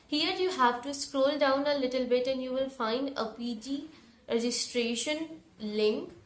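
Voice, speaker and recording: Fairly slow speech with fairly even intonation and audible room echo. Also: woman. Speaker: education YouTuber. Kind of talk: tutorial.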